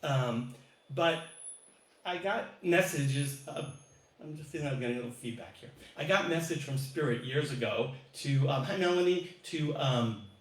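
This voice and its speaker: Amid noticeable background noise and audible room echo, a man with a fairly high pitch speaks with big swings in loudness and long, frequent pauses. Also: ordinary pitch variation, moderate pace. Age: 60s. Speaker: singer-songwriter. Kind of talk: casual chat. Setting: live stream.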